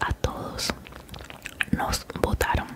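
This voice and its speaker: A woman speaks over loud background noise. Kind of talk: casual vlog chat. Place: home room. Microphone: studio mic.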